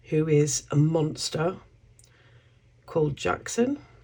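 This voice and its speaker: A woman speaks with a British accent. Her pace is very slow. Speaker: craft YouTuber. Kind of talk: tutorial. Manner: casual, chatty.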